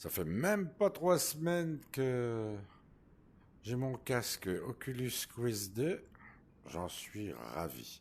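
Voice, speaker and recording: This man talks at a very slow pace with very wide pitch swings and long, frequent pauses. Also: medium pitch for a man. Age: 60s. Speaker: VR gaming YouTuber. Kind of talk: casual improvised gameplay commentary. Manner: hesitant.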